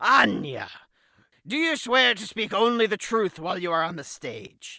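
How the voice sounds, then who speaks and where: This is a put-on character voice at a middle pitch. Its pitch swings very widely. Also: moderate pace. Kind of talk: courtroom speech. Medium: audio drama. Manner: formal, authoritative.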